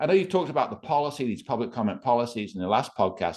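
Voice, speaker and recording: A man speaks in an English accent with an animated tone. His pitch swings very widely. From England. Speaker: free speech activist. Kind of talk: interview. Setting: podcast.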